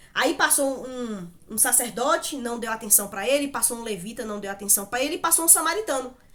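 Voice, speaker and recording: A woman's animated, high voice with lively intonation, a fairly quick pace and hardly any pauses, against noticeable background noise. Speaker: Bible teacher. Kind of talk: Bible study talk.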